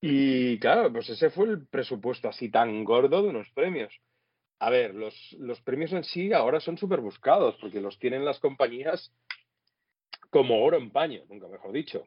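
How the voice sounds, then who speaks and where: Using a plain, everyday voice, a man with a fairly high pitch talks at a moderate pace, his intonation lively and his loudness swinging widely. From Catalonia, Spain (Sitges / Tarragona area). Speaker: former radio host. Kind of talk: casual interview.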